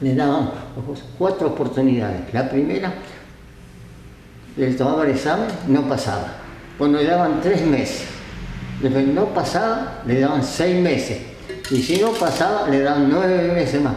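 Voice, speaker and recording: A man with a fairly high pitch talks fairly slowly, with lively intonation and long, frequent pauses. Noticeable background noise is present. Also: very even loudness. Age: 80s+. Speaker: retired railway engine driver. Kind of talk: interview answer.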